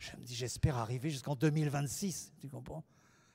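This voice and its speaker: Speaking at a moderate pace, the man has a dark, mellow tone. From France. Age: 70s. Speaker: painter. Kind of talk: public interview.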